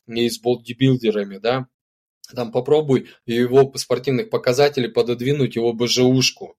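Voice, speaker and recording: A man speaks at a moderate pace and medium pitch, the sound dry and close with no echo. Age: 40s. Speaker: spiritual practitioner and retreat leader. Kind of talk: casual interview chat. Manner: animated.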